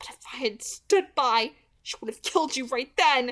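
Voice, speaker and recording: Putting on a character voice, a woman with a high pitch growls and hisses at a moderate pace, with lively intonation and big swings in loudness. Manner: hissing, frustrated.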